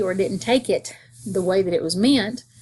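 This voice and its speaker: A woman speaks in a strong Southern US accent. Her pitch is medium. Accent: strong southern accent, very country. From US South, North Georgia. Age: 50s. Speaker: school teacher. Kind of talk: self-introduction monologue. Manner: casual, conversational.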